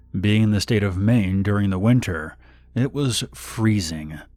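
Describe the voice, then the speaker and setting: A man's fairly low-pitched voice is heard with music in the background. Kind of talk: horror story narration.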